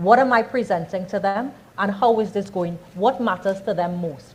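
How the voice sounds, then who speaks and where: In a Trinidadian accent, a woman speaks at a moderate pace with a medium pitch, somewhat breathy, and with ordinary pitch variation. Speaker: communications and branding speaker. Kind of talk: workshop talk.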